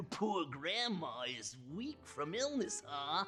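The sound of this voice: Over faint music in the background, a put-on character voice comes through raspy, with a bright, sharp tone, a very slow pace and big pitch swings.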